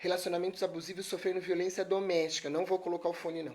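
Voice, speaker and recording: Soft-spoken, a woman talks with a dark, mellow tone at a fairly low pitch. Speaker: lawyer giving a talk. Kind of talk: live stream talk. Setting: live stream.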